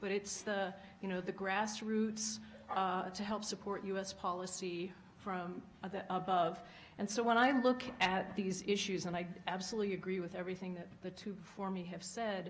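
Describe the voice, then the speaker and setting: A soft-spoken, somewhat breathy woman with an American accent talks at a moderate pace in a medium pitch, her intonation flat and monotone, with audible room echo. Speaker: former diplomat. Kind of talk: panel talk.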